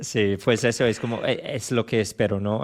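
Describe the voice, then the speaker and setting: Against a quiet background, a man with a strong English accent speaks fairly low at a moderate pace with monotone, flat intonation. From England, London. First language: English (speaking Spanish). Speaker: Spanish learner. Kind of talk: casual chat. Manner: halting.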